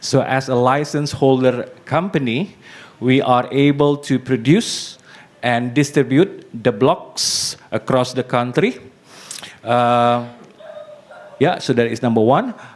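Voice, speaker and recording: At a very slow pace, a man speaks at a medium pitch with ordinary pitch variation and long, frequent pauses. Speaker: startup representative. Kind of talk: presentation talk. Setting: meetup with live audience. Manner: halting, many fillers.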